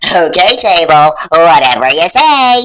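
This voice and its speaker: A female-sounding voice at middle pitch performs a put-on character voice. The pace is fairly slow. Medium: read story.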